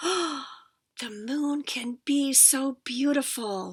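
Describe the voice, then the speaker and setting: Using a put-on character voice, a woman speaks at a high pitch. Her pace is very slow. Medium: read story. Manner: soft, heartfelt.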